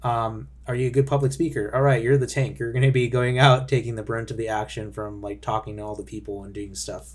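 The voice is somewhat breathy, moving at a fairly quick pace with hardly any pauses. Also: man, medium pitch for a man, ordinary pitch variation, big swings in loudness. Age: 20s. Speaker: game designer and podcast host. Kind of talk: solo podcast monologue. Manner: casual with frequent fillers.

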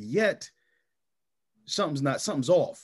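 In a quiet setting, a man talks at a moderate pace with a fairly high pitch. He has a normal speaking voice. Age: 30s. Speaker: podcast host. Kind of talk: casual interview.

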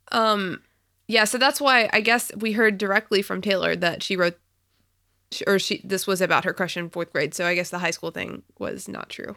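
A woman talks at a moderate pace with a medium pitch, ordinary pitch variation and vocal fry. Her tone is bright and sharp, captured in a very clean recording with a silent background. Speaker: podcast co-host. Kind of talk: casual chat. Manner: animated, laughs often.

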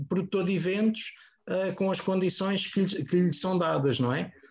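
A man speaks with ordinary pitch variation. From Portugal, Almada. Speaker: music agent and label owner. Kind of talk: casual panel discussion.

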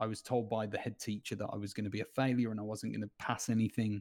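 A man with an English accent talks at a fairly quick pace in a medium pitch, his intonation fairly even, on a very clean recording with a silent background. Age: 30s. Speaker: former youth footballer and coach. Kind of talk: interview.

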